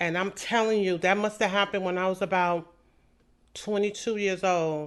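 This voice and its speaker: Against a quiet background, a woman of medium pitch speaks with fairly even intonation in a plain, everyday voice. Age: 60s. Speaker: podcast host. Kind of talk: personal testimony monologue.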